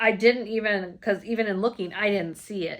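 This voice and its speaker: On a very clean recording with a silent background, a woman speaks in an animated tone at a moderate pace and medium pitch. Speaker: cross stitch video blogger. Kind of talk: casual haul chat.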